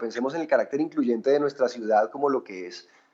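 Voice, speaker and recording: With a Bogotá accent, a man talks at a very fast pace. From Colombia, Bogotá. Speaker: writer. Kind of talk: TV interview. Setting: TV program.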